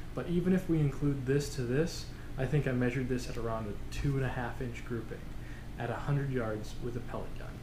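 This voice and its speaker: A man at a fairly quick pace, fairly even intonation, noticeable background noise behind him. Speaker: hobby shooter reviewing results. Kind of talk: casual vlog chat. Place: home room. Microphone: camera far.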